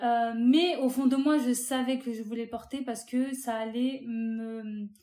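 Her voice sits high for a woman, delivered with a monotone, flat intonation. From France, Algerian family. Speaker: content creator. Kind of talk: casual interview.

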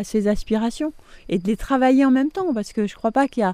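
Heard with a dry, close sound and no echo, a woman has a dark, mellow tone and ordinary pitch variation. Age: 60s. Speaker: resident of a participatory housing project. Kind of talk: interview.

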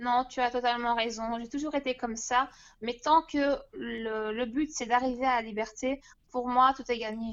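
This woman has a high-pitched voice. Her pace is fairly slow and her intonation fairly even. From Belgium. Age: 20s. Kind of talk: interview testimony.

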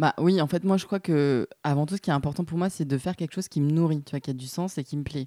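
A woman speaks very fast with a very deep, low pitch and a dark, mellow tone, hardly pausing at all. The recording is very clean with a silent background and a dry, close sound with no echo. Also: ordinary pitch variation. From southern France, Nîmes. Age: 30s. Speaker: podcast host and former lawyer. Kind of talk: interview conversation. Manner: hesitant, many fillers.

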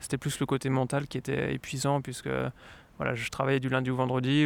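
A man at a medium pitch and fairly quick pace, with monotone, flat intonation. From France, Lyon. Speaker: former professional cyclist. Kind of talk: interview.

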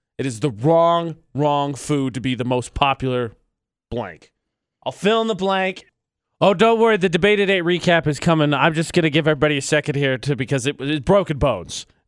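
In a very clean recording with a silent background, a man speaks fairly quickly in a normal speaking voice, fairly high in pitch, with lively intonation. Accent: American. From Indiana. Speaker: morning radio host. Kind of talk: casual chat. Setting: studio.

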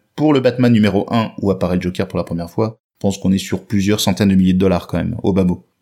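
A man with a northern French accent speaks at a fairly low pitch in a dark, mellow tone with fairly even intonation. The recording is very clean, with a silent background. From northern France. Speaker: comics expert. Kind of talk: casual chat.

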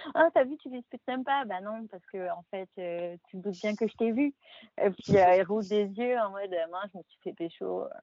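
A woman's plain, everyday voice at medium pitch, with ordinary pitch variation, big swings in loudness and a moderate pace. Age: 30s. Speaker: stepmother. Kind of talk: casual chat.

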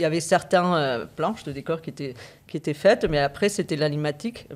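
The voice moves at a moderate pace in a very clean recording with a silent background. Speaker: film composer. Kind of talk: interview. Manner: halting with repetitions.

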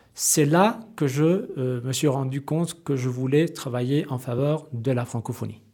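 At a very slow pace, a man with a Spanish accent speaks in a dark, mellow tone with ordinary pitch variation. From Mexico. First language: Spanish (speaking French). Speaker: educational publishing representative. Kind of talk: panel discussion.

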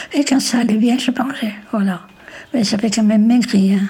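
A woman speaks at a fairly slow pace with fairly even intonation. Noticeable background noise runs underneath. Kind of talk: interview.

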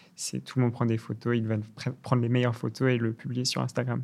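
A man's medium-pitched voice with fairly even intonation, in a very clean recording over a silent background. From England, London; Irish mother, French father. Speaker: startup founder. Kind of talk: interview. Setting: studio. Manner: halting, many repetitions and fillers.

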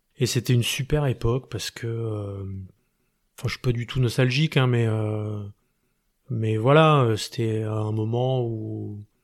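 Man at a medium pitch, fairly slow pace and fairly even intonation, in a very clean recording with a silent background. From Paris region, France. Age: 40s. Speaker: musician. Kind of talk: interview. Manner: halting.

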